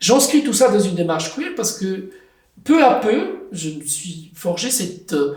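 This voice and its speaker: In a room with audible echo, a man's high voice makes very wide pitch swings and big swings in loudness. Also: fairly slow pace. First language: Italian (speaking French). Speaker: writer and translator. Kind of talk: interview.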